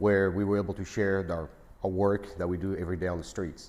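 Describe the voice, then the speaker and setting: Fairly even intonation marks this moderately paced speech. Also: man. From France. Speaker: sheriff's deputy. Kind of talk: video introduction.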